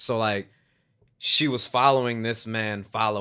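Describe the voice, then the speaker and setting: A man's medium-pitched voice, bright and sharp in tone, with fairly even intonation, on a very clean recording against a silent background. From Chicago. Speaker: stage actor. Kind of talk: casual chat.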